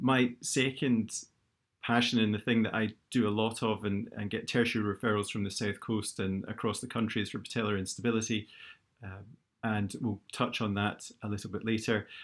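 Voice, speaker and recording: A Scottish accent at a moderate pace, monotone and flat, on a very clean recording with a silent background. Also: man, fairly low pitch for a man. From Scotland, Glasgow. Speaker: orthopaedic knee surgeon. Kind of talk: lecture. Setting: live YouTube stream.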